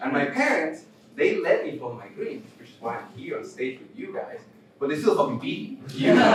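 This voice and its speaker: With a Spanish accent and an animated tone, a man speaks at a moderate pace amid noticeable background noise and audible room echo. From Mexico City. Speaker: stand-up comedian. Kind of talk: stand-up. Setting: stage with audience.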